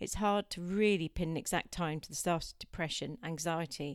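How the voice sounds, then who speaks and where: A woman talks in a normal speaking voice at a moderate pace, her fairly low pitch carrying fairly even intonation. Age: 50s. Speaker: podcast host sharing personal mental health story.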